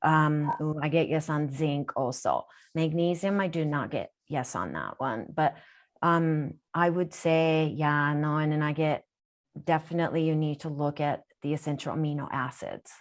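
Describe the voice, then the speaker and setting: A woman with a Japanese accent and a very deep, low pitch, fairly even intonation at a moderate pace, on a very clean recording with a silent background. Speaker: intuitive healer. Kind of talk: live Q&A reading.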